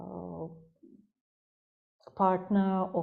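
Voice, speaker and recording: This woman has a dark, mellow tone and speaks with a Russian accent. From Russia, Saint Petersburg. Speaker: psychologist. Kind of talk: interview. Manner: halting, many fillers.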